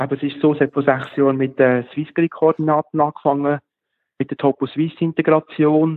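A man with a fairly high pitch speaks at a moderate pace in a monotone, flat delivery. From Switzerland, Lucerne region. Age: 40s. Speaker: app developer and geocacher. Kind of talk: interview.

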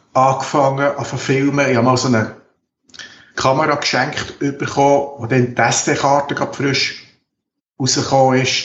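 With audible room echo, a man of medium pitch speaks at a fairly slow pace in a somewhat breathy voice. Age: 50s. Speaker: geriatric nurse and documentary filmmaker. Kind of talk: interview.

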